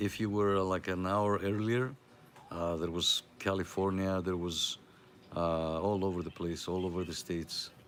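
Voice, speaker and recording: The speaker has a Greek accent. The intonation stays fairly even. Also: man. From Greece. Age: 50s. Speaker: CB radio net host. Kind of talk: live radio chat. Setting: live stream with CB radio. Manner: casual, hesitant with many fillers.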